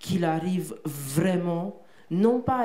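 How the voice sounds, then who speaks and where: A woman's dark, mellow, fairly low voice with a Romanian accent, at a very slow pace amid audible room echo. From Romania, Bucharest. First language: Romanian (speaking French). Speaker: poet and translator. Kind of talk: interview on stage. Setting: theatre stage with audience. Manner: halting, with many repetitions.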